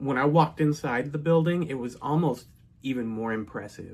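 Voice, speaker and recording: A man with an American accent at a moderate pace, his intonation fairly even. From North Texas. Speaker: storyteller. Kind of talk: personal storytelling. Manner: casual with fillers.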